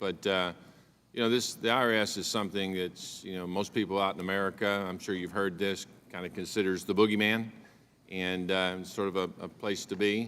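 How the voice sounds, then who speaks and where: A man with an Oklahoma accent speaks at a fairly low pitch and a fairly quick pace, his intonation monotone and flat. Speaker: congressman. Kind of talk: congressional hearing questioning. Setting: committee hearing room.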